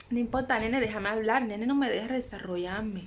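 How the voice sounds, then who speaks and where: A woman speaks with fairly even intonation. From Cuba. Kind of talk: casual vlog talk to camera. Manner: chatty, affectionate.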